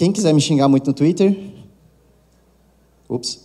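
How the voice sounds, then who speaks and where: A man's dark, mellow voice at a fairly quick pace, with ordinary pitch variation. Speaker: conference speaker, tech course manager. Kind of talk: conference talk. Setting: stage with audience. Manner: soft-spoken; casual, joking.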